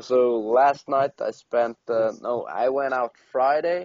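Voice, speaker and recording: A man speaks with a non-native accent. His intonation stays fairly even. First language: not English. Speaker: podcast co-host. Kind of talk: casual chat. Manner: halting, many fillers and restarts.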